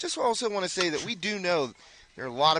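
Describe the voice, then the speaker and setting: This man talks with an American accent. His pace is fairly quick. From Western Pennsylvania. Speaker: sports color commentator. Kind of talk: live commentary. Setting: broadcast tent at a softball field.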